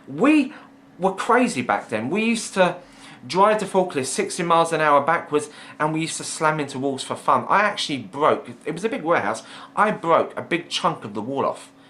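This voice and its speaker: A man with a high voice speaks at a fairly quick pace in an animated tone. His pitch swings very widely. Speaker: vlogger. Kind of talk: casual storytelling monologue. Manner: fast.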